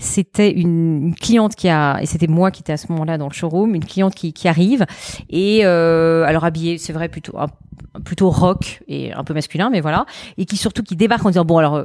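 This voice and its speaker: A woman speaks at a fairly quick pace in a fairly low pitch. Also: ordinary pitch variation. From France. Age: 40s. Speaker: entrepreneur. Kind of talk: interview. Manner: fast; halting, many repetitions.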